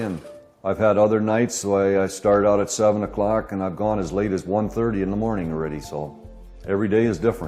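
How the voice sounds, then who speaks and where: Music sits behind a man speaking with an Upper Midwest accent. His pitch is fairly low, his intonation fairly even and his pace moderate. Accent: Upper Midwest American. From Minnesota. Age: 70s. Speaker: farmer and scroll saw artist. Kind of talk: documentary interview. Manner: halting.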